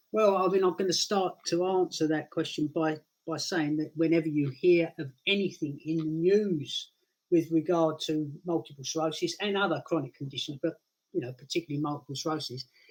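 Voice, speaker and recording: A man with a British accent talks at a fairly quick pace in a fairly high pitch with fairly even intonation. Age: 60s. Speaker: guest with multiple sclerosis. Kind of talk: casual interview. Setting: live stream.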